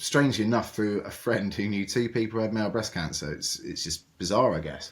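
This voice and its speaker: This man speaks with a British accent. His pitch is fairly low. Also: ordinary pitch variation, fairly quick pace. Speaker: cancer charity founder and survivor. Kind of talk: interview conversation. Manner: loud; hesitant, many fillers and repetitions.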